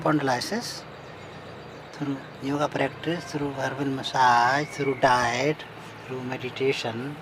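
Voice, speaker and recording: A man's very slow voice with fairly even intonation, long and frequent pauses, and noticeable background noise. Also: medium pitch for a man. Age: 80s+. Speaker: yoga teacher. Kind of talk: interview answer.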